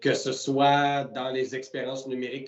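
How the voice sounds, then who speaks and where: A man with a Quebec accent speaks at a fairly slow pace in a monotone, flat way against noticeable background noise. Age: 20s. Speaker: entrepreneur. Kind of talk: interview. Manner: hesitant, many fillers.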